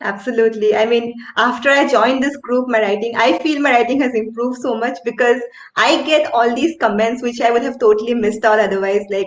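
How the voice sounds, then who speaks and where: Against noticeable background noise, a woman with an Indian accent talks at a fairly quick pace, her high pitch fairly even in intonation. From India, Assam. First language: Assamese. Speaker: writer, channel host. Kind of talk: casual interview chat.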